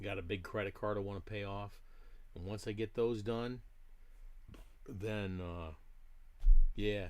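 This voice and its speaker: A man speaks with a fairly low pitch and fairly even intonation, leaving long, frequent pauses amid audible room echo. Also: fairly slow pace. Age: 60s. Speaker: diecast model hobbyist streamer. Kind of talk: live stream chat. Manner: casual, conversational.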